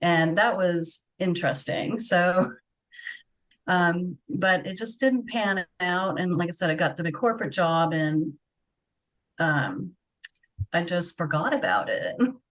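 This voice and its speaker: With an American accent, the speaker goes at a fairly slow pace with ordinary pitch variation and long, frequent pauses. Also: woman, fairly low pitch for a woman. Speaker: webcam model. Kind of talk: interview.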